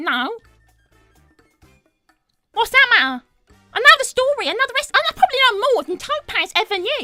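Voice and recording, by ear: A woman puts on a character voice at an extremely high pitch with big pitch swings and a bright, sharp tone. She moves at a moderate pace with long, frequent pauses, in a dry, close sound with no echo and faint music in the background.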